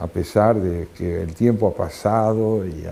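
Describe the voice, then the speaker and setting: Fairly even intonation marks this man's dark, mellow voice. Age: 70s. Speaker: writer and philosopher. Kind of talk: interview. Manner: reflective, with frequent filler hesitations.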